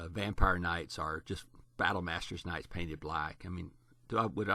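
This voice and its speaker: Against a quiet background, a man with a very deep, low pitch and a bright, sharp tone speaks at a fairly quick pace with fairly even intonation. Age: 60s. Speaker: tabletop wargamer. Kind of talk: casual commentary. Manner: halting, many fillers.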